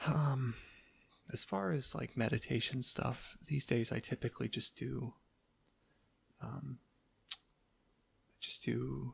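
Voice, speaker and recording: Soft-spoken and very slow, the delivery is broken by long, frequent pauses. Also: man. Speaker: ASMR creator. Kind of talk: casual talk to camera.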